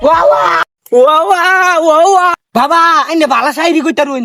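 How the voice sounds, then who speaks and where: A put-on character voice pitched high. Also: moderate pace. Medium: comedy sketch.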